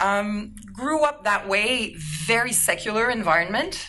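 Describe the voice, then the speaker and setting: Woman with a Quebec accent over noticeable background noise. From Quebec, Canada. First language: French. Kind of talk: personal testimony.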